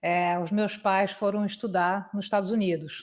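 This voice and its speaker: A woman talks in a Carioca accent at a medium pitch and a fairly slow pace. The recording is very clean, with a silent background. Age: 50s. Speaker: conference interpreter. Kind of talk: interview.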